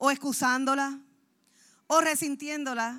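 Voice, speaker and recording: A woman's high, bright, sharp voice, raised and projected, animated in tone and fairly slow in pace, on a very clean recording with a silent background. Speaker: pastor. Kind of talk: sermon.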